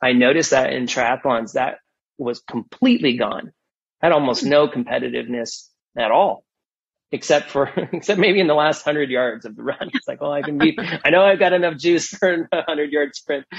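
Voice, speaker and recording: At a fairly quick pace, a man with an unremarkable speaking voice and fairly high pitch talks with lively intonation. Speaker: business executive. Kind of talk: interview.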